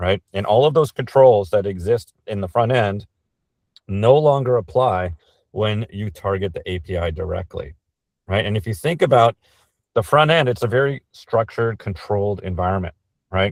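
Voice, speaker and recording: A man's unremarkable speaking voice, fairly low in pitch, at a moderate pace with lively intonation, dry and close with no echo. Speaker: cybersecurity speaker. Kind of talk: webinar presentation.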